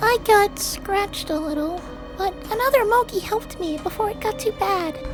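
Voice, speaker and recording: In a put-on character voice, the speaker squeaks at an extremely high pitch and a moderate pace over loud music in the background. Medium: audio drama. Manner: hesitant, stammering.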